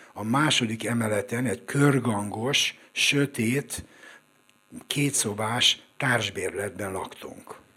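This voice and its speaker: A man speaking at a very slow pace, with ordinary pitch variation. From Budapest, Hungary. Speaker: screenwriter and coach. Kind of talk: live storytelling. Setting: stage with audience.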